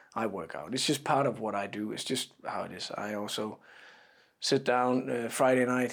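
A man is speaking. His intonation is fairly even. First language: not English. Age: 30s. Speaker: football fitness coach. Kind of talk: interview. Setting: training camp in Austria.

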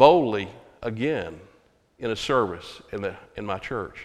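A man with a Texan accent, medium pitch and lively intonation. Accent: Texan Southern American. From Texas (Hearst, near Fort Worth). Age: 70s. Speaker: Baptist pastor. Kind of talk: sermon. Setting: church.

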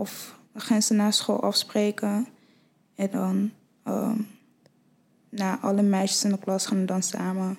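A woman talks in a medium pitch with monotone, flat intonation. Her pace is fairly slow, broken by long, frequent pauses. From Nigeria, then Friesland from age eight. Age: 20s. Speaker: fashion model. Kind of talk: casual chat.

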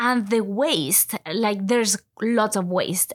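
A woman's fairly high voice in a Latin American accent, at a moderate pace with ordinary pitch variation, on a very clean recording with a silent background. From Ecuador. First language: Spanish. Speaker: university lecturer. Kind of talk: interview conversation.

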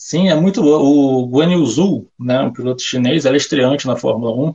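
At a moderate pace, a man talks in an ordinary speaking voice of medium pitch with ordinary pitch variation. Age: 20s. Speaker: motorsport betting tipster. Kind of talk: casual interview.

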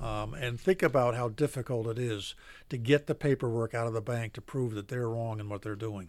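A man with an American accent speaks fairly quickly in an unremarkable speaking voice, medium in pitch with ordinary variation, on a very clean recording with a silent background. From Philadelphia, then Maine. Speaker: foreclosure defense lawyer. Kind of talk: radio interview.

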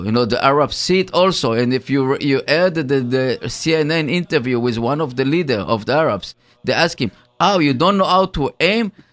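At a moderate pace, a normal speaking voice moves with lively intonation. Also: man. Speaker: radio co-host. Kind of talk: casual chat. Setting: studio.

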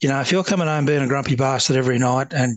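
A man speaks at a medium pitch with a strong Australian accent. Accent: broad Australian. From Australia, rural Victoria (Upper Murray). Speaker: retired police officer, peer support founder. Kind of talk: interview.

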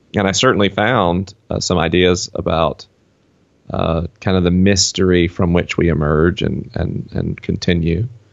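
A man with a very deep, low voice and a Southern US accent, at a fairly slow pace with fairly even intonation. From US South. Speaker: author and podcaster. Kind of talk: casual interview. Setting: video call.

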